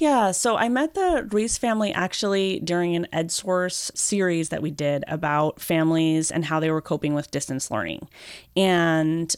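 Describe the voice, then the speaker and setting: A woman speaks in a plain, everyday voice, fairly low in pitch, with ordinary pitch variation. Her pace is moderate, and the recording is very clean with a silent background. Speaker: podcast host and education reporter. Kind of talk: conversational interview.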